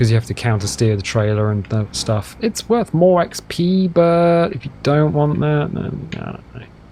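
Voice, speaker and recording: With a British accent and a relaxed tone, a man speaks at a moderate pace with very wide pitch swings over noticeable background noise. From United Kingdom. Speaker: gaming video host. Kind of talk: casual gameplay commentary. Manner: relaxed, chatty.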